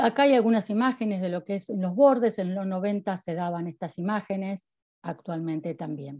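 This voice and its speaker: A woman with a Rioplatense accent speaks at a moderate pace and medium pitch, with ordinary pitch variation. The sound is dry with no echo, and the background is quiet. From Argentina. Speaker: university researcher. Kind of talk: academic lecture. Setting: video call. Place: home room. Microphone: video call.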